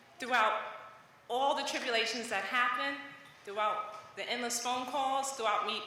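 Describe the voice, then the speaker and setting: Speaking at a moderate pace with a New York accent, a woman has a high pitch and ordinary pitch variation, with noticeable background noise and audible room echo around her. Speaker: parent of a graduate. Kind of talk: graduation speech. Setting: graduation ceremony stage.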